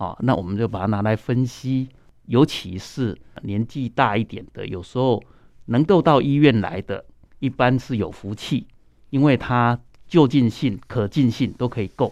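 Someone with a Taiwanese accent speaks at a fairly slow pace with ordinary pitch variation over a quiet background. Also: man, medium pitch for a man. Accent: Taiwanese Mandarin. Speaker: ENT doctor. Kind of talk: radio interview.

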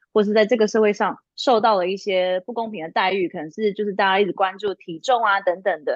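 A woman with an ordinary speaking voice at a medium pitch, ordinary pitch variation, a fairly quick pace, dry and close with no echo. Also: hardly any pauses. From Taiwan. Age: 30s. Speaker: lingerie brand founder and career consultant. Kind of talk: casual interview.

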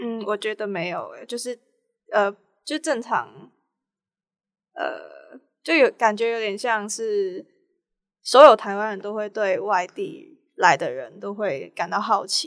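In a Cantonese accent, a woman speaks very slowly with long, frequent pauses. Her fairly high voice has lively intonation and big swings in loudness. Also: very clean recording, silent background. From Hong Kong. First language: Cantonese (speaking Chinese). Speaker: film student. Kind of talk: casual interview.

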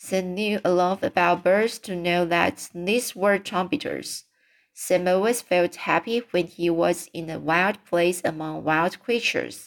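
In a very clean recording with a silent background, a woman with a non-native accent speaks at a fairly low pitch with ordinary pitch variation. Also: fairly slow pace. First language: not English. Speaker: amateur audiobook reader. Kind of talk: reading aloud. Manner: halting.

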